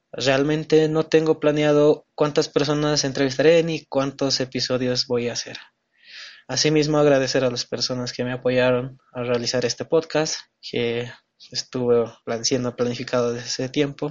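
Flat, monotone intonation marks this man's speech. His pitch is medium. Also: moderate pace. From Bolivia, El Alto. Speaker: podcast host, law student. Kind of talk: scripted introduction.

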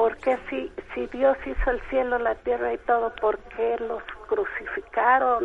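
Fairly slow speech from a woman, noticeable background noise behind it. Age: 60s. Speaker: caller. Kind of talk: testimony. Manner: halting.

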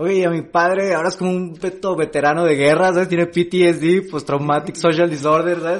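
With a Jalisco accent, a man talks at a fairly quick pace in a high pitch, his intonation monotone and flat. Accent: Mexican Spanish, Jalisco. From Mexico, Jalisco (Amatitán, Guadalajara). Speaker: stand-up comedian. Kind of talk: casual chat.

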